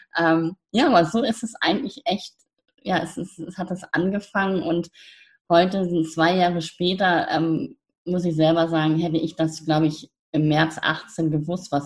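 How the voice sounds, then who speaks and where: This woman's voice sits fairly low in pitch and is somewhat breathy. Her pitch varies in an ordinary way. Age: 50s. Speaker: coach, founder of youth coaching platform. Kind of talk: interview. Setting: podcast interview.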